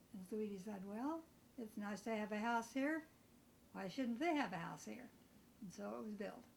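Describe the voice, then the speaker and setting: Over noticeable background noise, a woman with a fairly high voice and lively intonation speaks at a moderate pace with long, frequent pauses. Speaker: family member recounting memories. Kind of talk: casual reminiscing interview.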